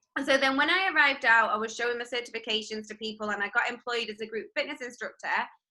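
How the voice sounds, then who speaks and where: A woman with an English accent talks at a very fast pace with hardly any pauses. Her high voice shows ordinary pitch variation. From northwest England, near Manchester. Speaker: fitness instructor. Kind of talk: casual interview chat. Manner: hesitant, many fillers.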